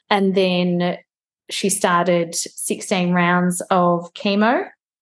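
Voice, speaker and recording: In an Australian accent, a woman speaks with monotone, flat intonation against a quiet background. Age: 30s. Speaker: BRCA mutation carrier sharing her story. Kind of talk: interview testimony.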